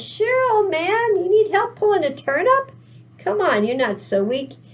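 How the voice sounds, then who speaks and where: A woman does a put-on character voice, squeaky and extremely high-pitched. Her pitch swings very widely at a moderate pace. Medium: read story.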